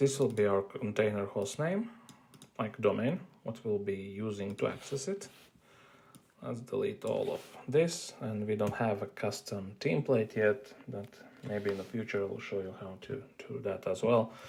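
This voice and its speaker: Moderately paced, somewhat breathy speech from a man, fairly low in pitch, with ordinary pitch variation. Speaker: IT tutorial creator. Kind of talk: screen-recorded tech tutorial. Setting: built-in device microphone.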